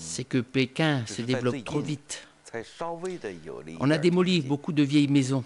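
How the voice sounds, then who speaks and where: Pitched fairly high, a man speaks at a fairly slow pace with lively intonation and long, frequent pauses. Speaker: voice-over artist. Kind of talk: documentary voice-over dub. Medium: dub.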